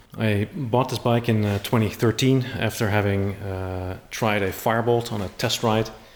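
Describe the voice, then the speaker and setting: A man with a Dutch accent talks at a moderate pace in a fairly low pitch. He hardly pauses at all. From Netherlands. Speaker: motorcycle YouTuber and distributor. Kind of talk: casual video presentation.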